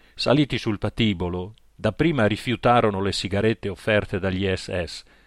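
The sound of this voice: The voice here is an unforced reading voice.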